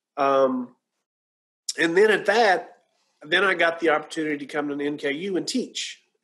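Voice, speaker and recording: A man's fairly high voice, bright and sharp in tone, at a moderate pace with ordinary pitch variation. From rural Kentucky. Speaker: radiologic science professor; guest. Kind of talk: Q&A interview on a webinar. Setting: video call. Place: home room. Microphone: webcam.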